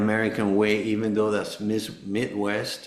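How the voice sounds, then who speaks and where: A man speaks with a Spanish accent at a fairly low pitch. Audible echo fills the room around him. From Venezuela. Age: 60s. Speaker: cancer survivor, former tennis player. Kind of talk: podcast interview. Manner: halting.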